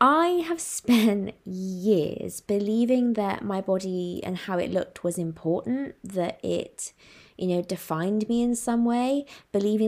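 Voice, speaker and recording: The recording is very clean, with a silent background. The speech has ordinary pitch variation at a fairly slow pace. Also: woman. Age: 20s. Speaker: self-love and happiness coach. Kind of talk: solo podcast monologue.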